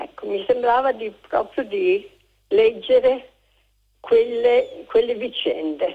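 Very slowly, a woman speaks with long, frequent pauses. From Udine, Friuli. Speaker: caller. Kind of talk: phone-in call. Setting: phone call.

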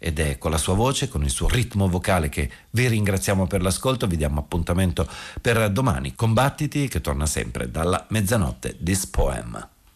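Vocal fry colors a man's very deep, low voice, which has very wide pitch swings and very even loudness at a fairly quick pace, captured on a very clean recording with a silent background. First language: Italian. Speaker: radio host. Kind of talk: late-night radio presentation. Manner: formal, fluent, informative.

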